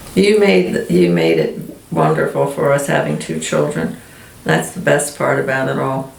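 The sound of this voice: A woman speaks at a moderate pace in an extremely low pitch, with vocal fry and big pitch swings. There is audible room echo.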